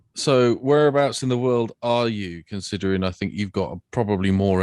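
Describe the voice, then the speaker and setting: The speaker has a southwest English accent and talks at a moderate pace with ordinary pitch variation. The background is quiet. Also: man. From England, Devon. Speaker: podcast co-host. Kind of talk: casual interview.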